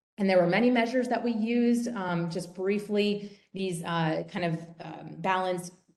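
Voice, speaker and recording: A woman speaks with ordinary pitch variation. Audible room echo surrounds her voice. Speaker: professor presenting research. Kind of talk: webinar lecture. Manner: fast.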